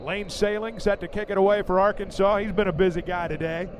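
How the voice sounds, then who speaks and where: A man's high-pitched voice at a moderate pace, fairly even in intonation, over noticeable background noise. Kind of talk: radio sports commentary.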